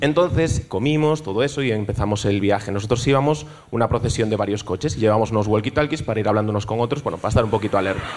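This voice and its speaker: A man's very fast speech with hardly any pauses, very even loudness and ordinary pitch variation. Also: medium pitch for a man. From Galicia (Ourense, Vigo). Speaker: audience member telling a story. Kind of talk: comedic storytelling on stage. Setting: stage with live audience. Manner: animated, theatrical.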